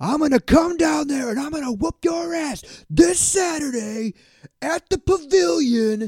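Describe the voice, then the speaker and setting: A man puts on a character voice at an extremely high pitch, sounding angry and speaking at a moderate pace. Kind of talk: over-the-top promo. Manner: angry, aggressive, threatening.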